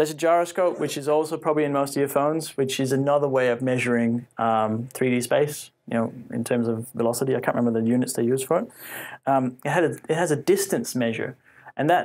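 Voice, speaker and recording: On a very clean recording with a silent background, a man talks at a very fast pace with a fairly high pitch. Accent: Australian. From Faroe Islands. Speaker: tech conference speaker. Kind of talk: technical talk to an audience. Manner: loud; casual with many fillers.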